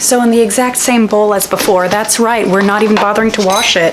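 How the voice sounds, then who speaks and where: This is a woman's voice. There is noticeable background noise. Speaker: home cook, lifestyle vlogger. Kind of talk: casual cooking vlog talk to camera.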